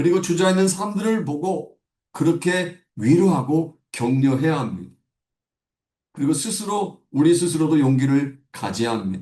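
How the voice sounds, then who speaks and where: Lively intonation runs through a dark, mellow tone, and the pace is moderate. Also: man. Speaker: pastor. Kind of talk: sermon.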